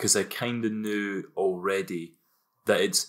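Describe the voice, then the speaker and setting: A man talks with a Scottish accent at a fairly slow pace. His pitch sits fairly low. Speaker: podcast co-host. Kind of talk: casual chat.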